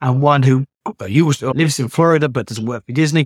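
A man's fairly high voice with a British accent, dry and close with no echo. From Britain. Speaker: travel agent and podcast host. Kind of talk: solo talk on travel tips.

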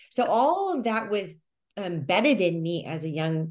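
A woman's fairly low voice in an American accent, at a fairly slow pace. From California, Carmel. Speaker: intuitive healer. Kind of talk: interview.

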